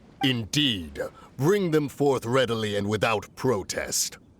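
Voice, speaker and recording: The man adopts a put-on character voice. His pitch is medium and his pace fairly slow. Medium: video game. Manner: stilted, archaic.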